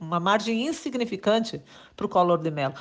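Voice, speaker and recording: A woman speaks in a normal speaking voice at a medium pitch, with lively intonation. Her pace is moderate, and the background is quiet. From Rio Grande do Sul, Brazil. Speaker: journalist. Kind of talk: political commentary monologue. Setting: WhatsApp voice message.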